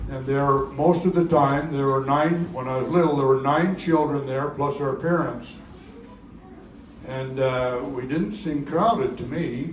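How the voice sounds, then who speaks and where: A man at a fairly slow pace with ordinary pitch variation, amid noticeable background noise and audible room echo. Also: fairly high pitch for a man. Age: 80s+. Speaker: family elder speaker. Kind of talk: reunion speech, reminiscing. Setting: family reunion gathering. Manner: halting, repetitive.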